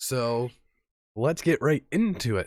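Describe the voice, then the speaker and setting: A man's voice, dry and close with no echo. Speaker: card game YouTuber. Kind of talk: casual talk to camera.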